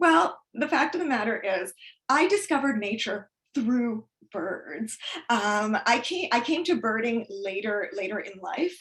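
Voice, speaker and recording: A woman with a normal speaking voice, fairly high pitch, lively intonation and a fairly slow pace. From Canada, immigrant from former Soviet Union. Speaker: author and birder. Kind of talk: presentation talk.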